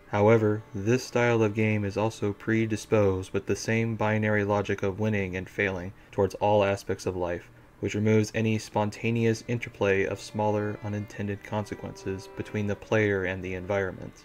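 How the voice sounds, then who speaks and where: A man with a fairly low voice speaks in a flat monotone, with hardly any pauses. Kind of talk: video game critique narration. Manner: clear enunciation, not fast.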